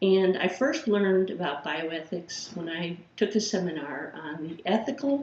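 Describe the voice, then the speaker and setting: There is audible room echo as a woman with a Chicago accent speaks at a fairly slow pace, her fairly low pitch carried by lively intonation. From Chicago, Illinois. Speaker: philosophy professor. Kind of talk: course introduction lecture.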